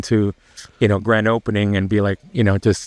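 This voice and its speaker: In a dry, close sound with no echo and a quiet background, a man speaks fairly quickly at a fairly low pitch with monotone, flat intonation. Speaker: cigar lounge owner and wedding photographer. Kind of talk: casual chat.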